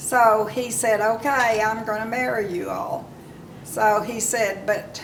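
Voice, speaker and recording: A woman with an Oklahoma accent and fairly high pitch at a fairly slow pace, amid noticeable background noise and audible room echo. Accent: Oklahoma Southern US. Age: 90s. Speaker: elderly woman telling her life story. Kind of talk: oral history storytelling. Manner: halting, with many fillers.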